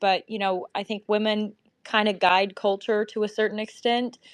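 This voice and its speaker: A woman speaks in a Southern US accent. Her voice sits at a fairly high pitch. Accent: Southern US, sweet. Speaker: guest speaker. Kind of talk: online group discussion.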